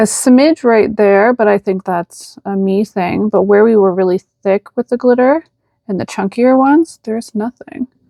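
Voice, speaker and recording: Delivered at a moderate pace with a Canadian accent, the dark, mellow voice shows ordinary pitch variation in a dry, close sound with no echo. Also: woman, fairly high pitch for a woman. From Canada. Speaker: nail art content creator. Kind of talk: product review tutorial. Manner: casual, chatty.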